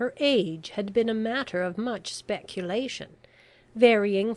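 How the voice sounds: With ordinary pitch variation, the reading voice comes across as natural.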